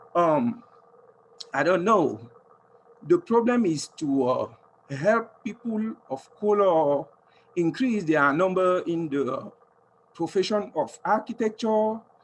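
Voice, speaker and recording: A man speaks in a high pitch with lively intonation. His pace is very slow, broken by long, frequent pauses. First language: French. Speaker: audience member asking a question. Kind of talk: audience question. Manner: halting.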